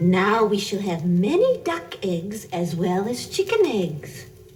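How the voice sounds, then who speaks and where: A woman's put-on character voice at medium pitch, fairly slow, over clear background music. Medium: audio drama. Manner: homely, cheerful.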